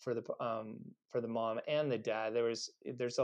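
This is a man speaking with a Californian accent. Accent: General American (Californian). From US West Coast (Los Angeles). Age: 40s. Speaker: chiropractor and podcast host, guest. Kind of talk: casual interview.

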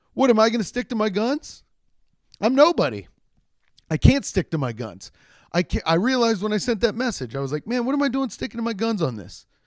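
A man with a high pitch speaks in an animated tone at a moderate pace, with very wide pitch swings. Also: long, frequent pauses, very clean recording, silent background. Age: 30s. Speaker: solo podcast host. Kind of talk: casual solo monologue. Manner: animated, rambling with many restarts.

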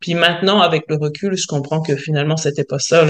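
This woman's pitch is very deep and low. She keeps a moderate pace and fairly even intonation. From France. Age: 40s. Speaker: self-employed worker. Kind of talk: casual interview chat.

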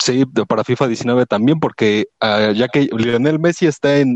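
A man at a fairly slow pace and medium pitch with ordinary pitch variation, an unremarkable speaking voice, dry and close with no echo. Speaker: listener participant. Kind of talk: casual chat.

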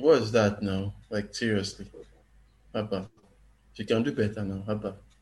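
Somewhat breathy and fairly low-pitched, a man speaks with fairly even intonation and long, frequent pauses. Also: moderate pace. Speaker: writer. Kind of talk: casual chat.

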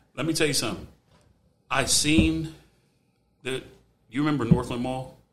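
A man speaks with an American accent and long, frequent pauses. Room echo is audible. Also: medium pitch for a man, lively intonation, moderate pace. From US Midwest, Ohio. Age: 40s. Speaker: barber. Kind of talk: casual chat.

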